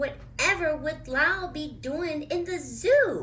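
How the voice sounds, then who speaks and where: A put-on character voice, female-sounding and extremely high, at a fairly slow pace. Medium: read story. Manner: polite, anxious.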